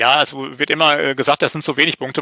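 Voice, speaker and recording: A man's fairly high pitch in a monotone, flat intonation. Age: 50s. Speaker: newspaper editor and small publisher. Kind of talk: casual interview chat. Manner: hesitant, many fillers and repetitions.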